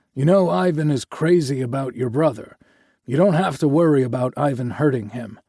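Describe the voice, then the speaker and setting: This put-on character voice moves along at a fairly quick pace. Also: man, medium pitch for a man. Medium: read story. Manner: warm, gentle.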